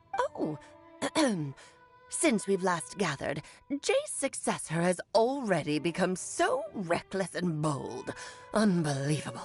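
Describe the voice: Using a put-on character voice, the speaker moves at a fairly slow pace with long, frequent pauses. Faint music plays in the background. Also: female-sounding voice, medium pitch for a woman.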